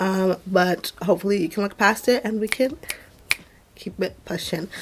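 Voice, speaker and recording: There is noticeable background noise as a woman speaks. Her pitch variation is ordinary. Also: medium pitch for a woman, moderate pace. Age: 20s. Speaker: beauty vlogger. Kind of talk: tutorial. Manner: casual, chatty.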